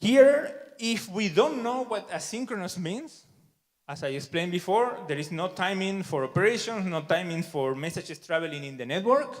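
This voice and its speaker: A man with a Spanish accent speaks at a moderate pace in a high pitch, his voice making very wide pitch swings and big swings in loudness. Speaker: software developer, conference speaker. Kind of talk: conference talk.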